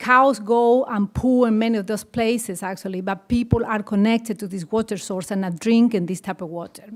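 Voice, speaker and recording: A woman speaks with a Bolivian accent at a fairly high pitch. Her pace is fairly quick and her intonation fairly even. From rural Bolivia. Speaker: conservation worker with farmers. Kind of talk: panel presentation. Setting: conference panel with audience.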